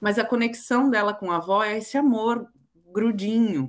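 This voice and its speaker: A woman with a São Paulo accent. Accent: Brazilian Portuguese, São Paulo coast. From Brazil, Santos (São Paulo coast). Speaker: children's book author. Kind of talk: interview.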